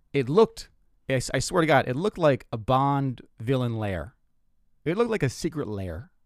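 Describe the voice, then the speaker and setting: Speaking at a moderate pace, a man uses a medium pitch with very wide pitch swings and long, frequent pauses. The recording is very clean, with a silent background. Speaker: stand-up comedian and podcast host. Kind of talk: stand-up comedy with a casual storytelling chat. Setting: solo podcast recording. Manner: rambling, self-deprecating, conversational.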